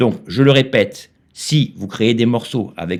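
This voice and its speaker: A man speaks fairly slowly, his intonation lively. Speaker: YouTuber teaching AI music tools. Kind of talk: tutorial. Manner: hesitant, many filler sounds.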